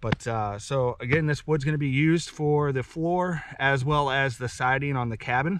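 A man's voice with ordinary pitch variation, dry and free of echo. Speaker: homesteader vlogger. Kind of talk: casual vlog outro. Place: forest. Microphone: camera far.

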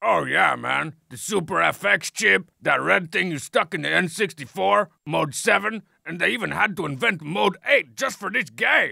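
Middle pitch in a put-on character voice at a fairly slow pace. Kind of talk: comic trailer hype. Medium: game stream. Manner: brash, sarcastic, bombastic.

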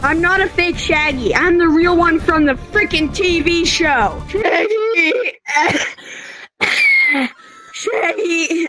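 Over faint background music, a man speaks very slowly in a strained, put-on character voice. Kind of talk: comic overacting. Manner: unconvincingly threatening.

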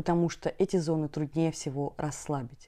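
Over a quiet background, a woman speaks at a very deep, low pitch in a calm, soothing, dark and mellow tone with monotone, flat intonation. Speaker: meditation teacher and hypnologist. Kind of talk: guided meditation instructions, explanatory talk. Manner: calm, soothing, warm; slow, gentle, reassuring. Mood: warm, calm. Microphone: lapel.

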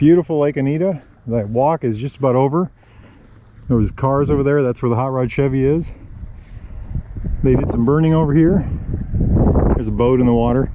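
Fairly quick speech with ordinary pitch variation, a dry sound with no echo, and noticeable background noise. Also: man. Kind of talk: casual vlog chat. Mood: relaxed, cheerful. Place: waterside. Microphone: phone near.

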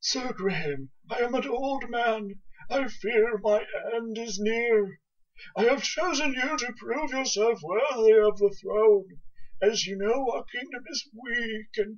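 This is a put-on character voice with a fairly high pitch. The delivery moves at a fairly slow pace. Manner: frail, weary.

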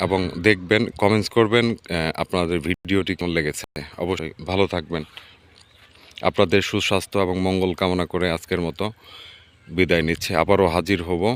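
A man's very deep, low voice comes through dry and close, with no echo. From Bangladesh, rural village. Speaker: vlogger. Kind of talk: travel vlog narration. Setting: outdoors in a mustard field by a river. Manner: enthusiastic.

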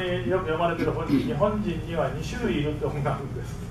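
A man speaks in a high-pitched voice. Noticeable background noise and audible room echo fill the recording. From Japan. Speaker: professor. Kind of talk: lecture. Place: hall.

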